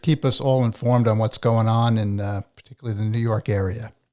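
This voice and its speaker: At a fairly quick pace, a man with an American accent talks in an ordinary speaking voice at a medium pitch. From New Jersey. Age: retired. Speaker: podcast host. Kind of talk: interview.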